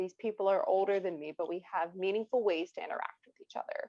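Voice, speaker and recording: A woman with a Midwestern American accent, fairly even intonation and a fairly quick pace. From US Midwest, rural Ohio. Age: 20s. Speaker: children's author. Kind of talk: interview.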